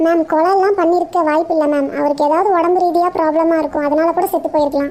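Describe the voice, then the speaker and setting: A cartoonish character voice at an extremely high pitch rattles along at a fairly quick pace. Light background noise is present. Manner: deferential, says ma'am constantly.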